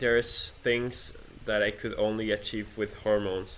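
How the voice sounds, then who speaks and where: With a non-native accent, a man speaks at a medium pitch and a fairly slow pace. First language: not English. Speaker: vlogger. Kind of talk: personal rant monologue. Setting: self-recorded, improvised setup. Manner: halting, many restarts.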